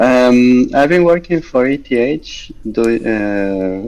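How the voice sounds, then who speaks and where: Here a man talks. He has an Argentine accent. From Argentina. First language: Spanish. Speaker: software engineer. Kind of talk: interview.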